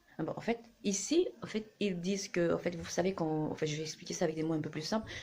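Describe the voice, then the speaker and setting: A woman's fairly low voice shows ordinary pitch variation as she goes at a fairly quick pace. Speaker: vlogger. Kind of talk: casual talk to camera. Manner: fast; hesitant, many fillers.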